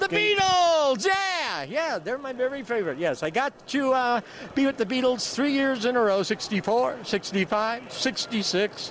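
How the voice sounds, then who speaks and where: With noticeable background noise behind him, a man with an extremely high pitch and very wide pitch swings talks at a moderate pace with hardly any pauses. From USA. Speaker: TV horror host. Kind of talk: interview answer. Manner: dour, low-key.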